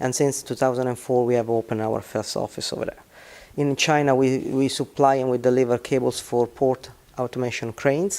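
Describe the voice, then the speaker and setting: Someone speaks fairly quickly with an Italian accent. The intonation is monotone and flat. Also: man, medium pitch for a man. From Italy. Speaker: business executive. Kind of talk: interview. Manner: halting.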